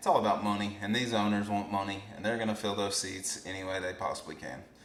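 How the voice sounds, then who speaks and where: A man with an American accent talks at a very fast pace in a fairly low pitch and fairly even intonation, with audible room echo and noticeable background noise. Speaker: podcast co-host. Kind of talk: casual chat. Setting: garage. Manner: loud.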